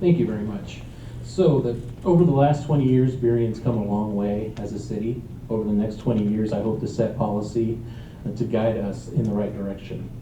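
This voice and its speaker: Amid noticeable background noise and audible room echo, a man talks at a fairly quick pace in a fairly low pitch with ordinary variation. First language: Spanish. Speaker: council candidate. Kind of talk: candidate forum answer.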